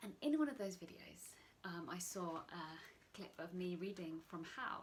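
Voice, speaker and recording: A woman's somewhat breathy, fairly low voice at a fairly slow pace. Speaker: yoga teacher. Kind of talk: casual talk to camera.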